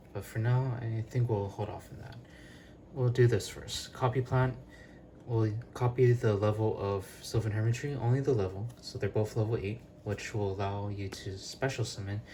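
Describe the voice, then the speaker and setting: Somewhat breathy, a man's medium-pitched voice carries a dark, mellow tone with fairly even intonation but big swings in loudness. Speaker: card game youtuber. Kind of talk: tutorial. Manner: fast.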